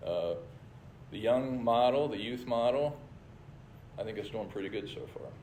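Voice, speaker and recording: Audible room echo surrounds a man whose dark, mellow, somewhat breathy voice sits at a medium pitch, with ordinary pitch variation and a fairly slow pace. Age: 60s. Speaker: church leader. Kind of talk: church presentation with slides.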